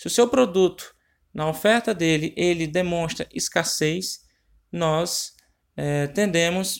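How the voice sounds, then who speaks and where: A man speaks at a very slow pace and a high pitch. His pitch varies in an ordinary way. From Ceará, northeastern Brazil. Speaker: marketing tips presenter. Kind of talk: informal marketing tutorial. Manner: halting, with many filler hesitations.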